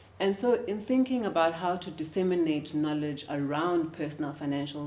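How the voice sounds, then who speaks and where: At a moderate pace, a woman with a South African accent speaks in a fairly low voice with ordinary pitch variation. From South Africa, Eastern Cape (former Transkei). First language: isiXhosa. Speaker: finance professional and educator. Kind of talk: interview. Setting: studio. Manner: hesitant, many filler words.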